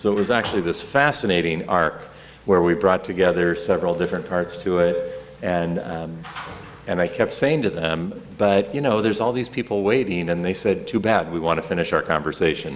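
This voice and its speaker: Against noticeable background noise and audible room echo, the speaker talks at a fairly quick pace with an American accent and ordinary pitch variation. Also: man, very deep, low pitch for a man. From US Midwest, Kansas City. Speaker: rabbi. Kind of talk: lecture. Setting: classroom with audience and microphone. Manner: loud; conversational, many filler words.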